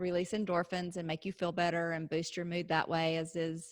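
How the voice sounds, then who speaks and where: On a very clean recording with a silent background, a woman speaks in a bright, sharp tone with a Texas accent. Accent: deep Texas twang. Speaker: podcast co-host. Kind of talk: casual chat.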